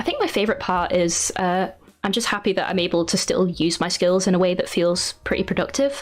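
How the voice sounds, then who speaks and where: A woman speaks at a fairly quick pace. There is noticeable background noise. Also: medium pitch for a woman, ordinary pitch variation. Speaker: artist and YouTuber. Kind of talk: interview conversation. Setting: podcast interview.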